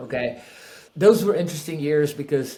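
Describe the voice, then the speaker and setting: Audible room echo surrounds a man with a Spanish accent. His pitch is fairly high, with ordinary variation. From Peru. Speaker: real estate investor. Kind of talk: podcast interview.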